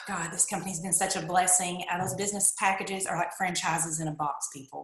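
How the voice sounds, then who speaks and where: A woman with a Kentucky accent talks at a fairly quick pace with ordinary pitch variation. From eastern Kentucky. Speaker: network marketer. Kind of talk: testimony. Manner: animated.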